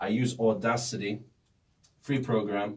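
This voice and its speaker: Fairly low pitch marks this man's voice. His intonation stays fairly even. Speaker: YouTuber. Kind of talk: casual studio tour. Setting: small home studio. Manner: casual, conversational. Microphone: good microphone, foam treated room.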